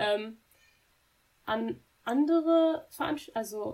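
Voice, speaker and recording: Here we hear a woman. The rise and fall of her voice is ordinary. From Germany, Dortmund (Ruhr area). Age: 20s. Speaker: university student. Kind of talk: interview.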